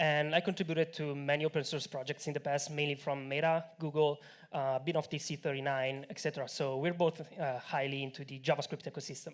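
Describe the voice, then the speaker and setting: In an Italian accent, a man speaks very fast in a fairly high voice with hardly any pauses. His intonation is monotone and flat, on a very clean recording with a silent background. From Italy. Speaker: tech company co-founder. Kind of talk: conference talk. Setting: stage with audience.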